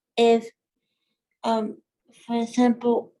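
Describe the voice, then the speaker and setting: A woman with a somewhat breathy, dark and mellow tone speaks at a very slow pace and a fairly high pitch. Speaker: workshop co-presenter. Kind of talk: workshop presentation. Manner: halting.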